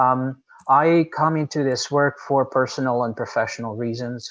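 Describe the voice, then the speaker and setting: This man speaks with a Portuguese accent at a moderate pace. His pitch sits in the medium range. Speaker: nonprofit executive director. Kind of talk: panel discussion talk. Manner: hesitant, many fillers.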